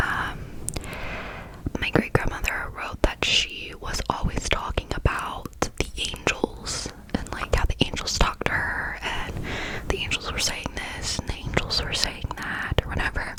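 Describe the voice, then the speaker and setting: Through noticeable background noise comes whispering at a fairly slow pace. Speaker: ASMR creator. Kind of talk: whispered ASMR story time. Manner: whispered.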